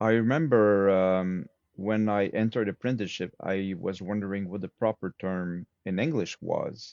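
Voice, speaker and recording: This man speaks with a Quebec accent at a fairly low pitch. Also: ordinary pitch variation, moderate pace. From Quebec, Montreal. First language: French. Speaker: swordsmith. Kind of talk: interview conversation.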